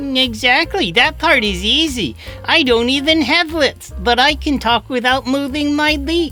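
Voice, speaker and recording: A cartoonish character voice with a high pitch talks at a moderate pace. Clear music plays in the background. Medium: puppet.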